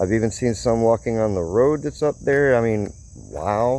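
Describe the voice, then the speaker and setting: A man speaks at a fairly slow pace. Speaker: vlogger, mission staff worker. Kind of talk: casual vlog narration. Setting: outdoors, walking.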